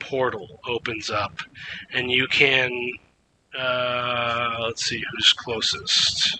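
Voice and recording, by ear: Natural-voiced reading aloud.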